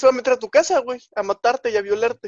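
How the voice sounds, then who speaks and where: A man with a Mexican accent speaks in a high voice with lively intonation, recorded dry and close with no echo. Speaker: podcast co-host. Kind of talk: casual chat.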